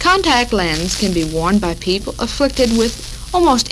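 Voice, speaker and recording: There is noticeable background noise behind this woman. She talks at a moderate pace with an American accent. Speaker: radio host. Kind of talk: 1940s women's radio talk show. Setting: radio broadcast, 1940s recording.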